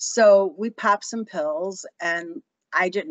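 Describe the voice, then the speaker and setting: With a Chicago accent, a woman speaks at a medium pitch. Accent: Chicago American. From Chicago, US Midwest. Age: 60s. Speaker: author. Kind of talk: interview storytelling. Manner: halting.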